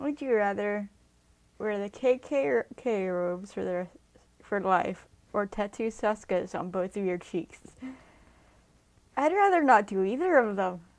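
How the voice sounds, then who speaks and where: Soft-spoken and at a fairly slow pace, a woman talks with lively intonation at a medium pitch, leaving long, frequent pauses. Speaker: YouTuber. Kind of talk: casual game commentary. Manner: soft-spoken naturally; louder than usual for recording.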